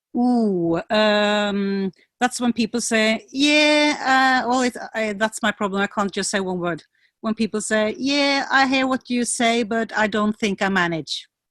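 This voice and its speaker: A woman with a Norwegian accent, fairly high pitch, ordinary pitch variation and a fairly slow pace, recorded dry and close with no echo against a quiet background. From Norway, rural valley between Oslo and Bergen. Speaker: PR consultant and music coach. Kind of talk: interview.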